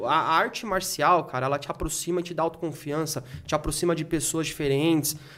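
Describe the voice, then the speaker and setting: Here a man speaks with a high pitch. His pace is very fast. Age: 30s. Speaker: game collector and reseller. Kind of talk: casual chat.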